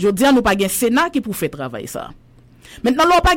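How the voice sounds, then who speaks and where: A woman talks at a fairly quick pace with a fairly high pitch and very wide pitch swings. Vocal fry runs through her voice. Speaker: journalist. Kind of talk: casual chat.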